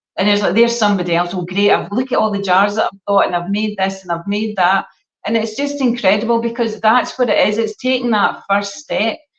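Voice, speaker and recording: A woman with a Scottish accent, fairly high in pitch, at a fairly quick pace with ordinary pitch variation. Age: 60s. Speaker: gut health educator. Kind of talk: casual chat. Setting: live stream. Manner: animated.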